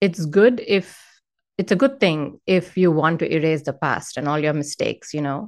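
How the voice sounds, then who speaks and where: With an Indian accent, a woman speaks at a moderate pace in a fairly low pitch and lively intonation. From Hyderabad, south India. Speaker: author and speaker. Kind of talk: casual interview sharing personal testimony.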